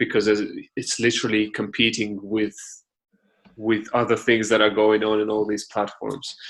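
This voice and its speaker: With a Russian accent, a man speaks at a moderate pace in a fairly low, flat, monotone voice. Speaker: podcast host. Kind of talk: interview.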